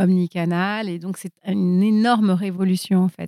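A woman with a medium pitch and a dark, mellow tone speaks fairly slowly with fairly even intonation, in a dry, close, echo-free recording with a silent background. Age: 50s. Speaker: entrepreneur and investor. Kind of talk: casual chat.

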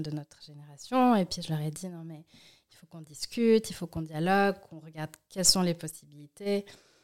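This woman has an unremarkable speaking voice, fairly low in pitch. She talks at a moderate pace. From Switzerland, Valais (Martigny), then Lausanne. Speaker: activist and entrepreneur. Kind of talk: interview conversation.

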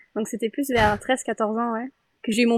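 Close and dry with no echo, this very clean recording with a silent background has a woman talking at a fairly quick pace in a fairly high pitch. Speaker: podcaster. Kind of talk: casual chat.

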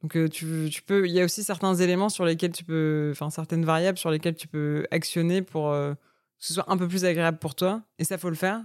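A woman talks at a fairly quick pace in an unremarkable speaking voice. Her pitch is fairly low and her intonation fairly even. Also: very clean recording, silent background. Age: 30s. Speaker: entrepreneur. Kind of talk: casual chat.

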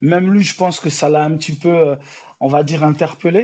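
At a moderate pace, a man with a fairly high pitch and ordinary pitch variation speaks in a dark, mellow tone. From France, Besançon and Paris suburbs (born in Angola). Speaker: entrepreneur, food show producer. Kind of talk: interview. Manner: hesitant, many fillers.

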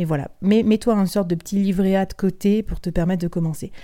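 Her pitch is medium and her tone dark and mellow as the woman speaks. She holds a moderate pace with fairly even intonation. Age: 30s. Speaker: podcast host and freelance sales director. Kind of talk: solo podcast advice talk.

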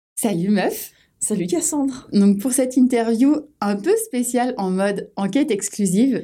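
A woman speaks at a fairly slow pace, her dark, mellow tone carried by lively intonation. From France, Orléans. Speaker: podcast host and sensuality coach. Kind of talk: podcast interview.

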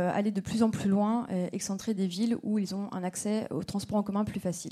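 This woman has a normal speaking voice at a fairly high pitch. Her pitch variation is ordinary. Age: 30s. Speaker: startup representative. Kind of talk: startup pitch.

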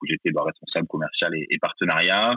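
A fairly quick pace drives the delivery. The voice belongs to a man. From France, Bordeaux. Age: 30s. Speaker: ticketing company sales director. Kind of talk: interview.

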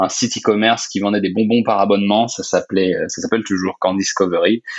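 This man talks with fairly even intonation, his voice fairly low, his pace moderate. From France. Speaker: software company co-founder. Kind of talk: interview. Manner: hesitant, many fillers.

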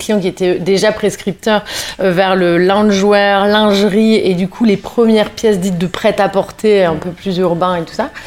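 The woman's intonation is monotone and flat, her pitch medium. She delivers her words at a fairly slow pace. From northern France, Lille. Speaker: fashion brand founder. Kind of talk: interview. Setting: at home.

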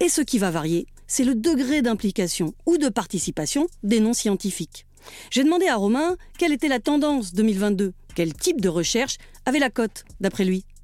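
A woman with a Parisian accent speaks at a moderate pace in a fairly high voice, her pitch swinging very widely while her loudness stays very even, on a very clean recording with a silent background. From Paris, France. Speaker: podcast host and narrator. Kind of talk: scripted narration.

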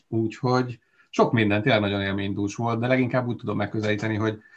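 Talking at a very fast pace, a man keeps a fairly low pitch with fairly even intonation. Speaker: cycling commentator. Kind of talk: casual chat.

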